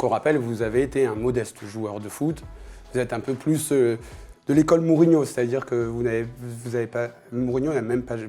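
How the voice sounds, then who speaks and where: With music in the background, a man talks at a fairly quick pace and medium pitch, keeping fairly even intonation. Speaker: football show host. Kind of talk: interview.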